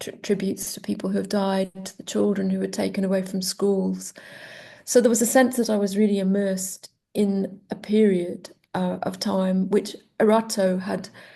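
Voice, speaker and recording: A woman with a Welsh accent, dark and mellow in tone, at a moderate pace with monotone, flat intonation. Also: medium pitch for a woman. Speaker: poet. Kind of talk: interview. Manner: halting.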